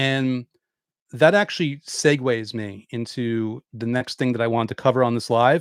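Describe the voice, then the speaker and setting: A man talks at a medium pitch with ordinary pitch variation. The sound is dry and close with no echo, a very clean recording with a silent background. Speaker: law of attraction author and YouTuber. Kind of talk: livestream Q&A talk. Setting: YouTube live stream. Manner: fast; animated.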